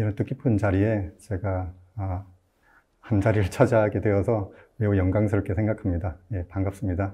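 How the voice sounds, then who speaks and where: A man with a fairly low pitch speaks at a moderate pace in a somewhat breathy, dark and mellow tone, his intonation fairly even against a quiet background. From Gimcheon, Gyeongbuk, South Korea. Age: 50s. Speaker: novelist. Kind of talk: formal greeting in literary talk. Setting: studio. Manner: formal.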